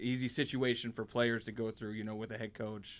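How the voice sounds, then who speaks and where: A man with an American accent talks at a fairly quick pace in an ordinary speaking voice. His pitch is medium, on a very clean recording with a silent background. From Cleveland, Ohio. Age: 30s. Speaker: podcast host. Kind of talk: casual chat. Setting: studio.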